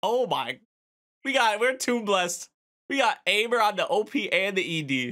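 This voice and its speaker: Here a man speaks in a raised, projected voice, high for his sex, with a bright, sharp tone and lively intonation. He goes at a fairly slow pace against a quiet background. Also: very even loudness. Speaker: anime reaction youtuber; anime reactor. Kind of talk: casual reaction commentary. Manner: animated, laughs often. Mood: amused, excited.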